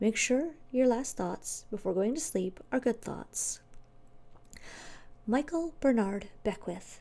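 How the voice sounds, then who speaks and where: A soft-spoken woman talks very slowly with a fairly high pitch, a dark, mellow tone, lively intonation, and long, frequent pauses. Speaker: ASMR creator. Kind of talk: ASMR book reading.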